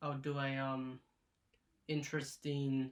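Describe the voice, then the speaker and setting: A man mumbles. His pace is very slow. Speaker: YouTuber reviewing his movie collection. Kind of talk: casual vlog talk. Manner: slow and mumbly; stutters, halting.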